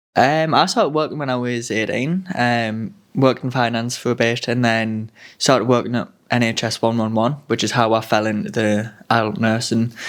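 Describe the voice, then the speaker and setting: With a Sunderland accent, a man speaks at a medium pitch and a moderate pace with ordinary pitch variation. The recording is very clean, with a silent background. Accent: Mackem (Sunderland). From Sunderland, northeast England. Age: 20s. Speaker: student nurse. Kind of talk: casual chat.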